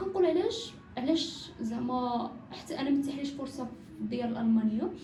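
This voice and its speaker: A woman's high-pitched voice with lively intonation and a fairly quick pace, amid noticeable background noise and audible room echo. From Morocco. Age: 20s. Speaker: footballer. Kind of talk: podcast interview.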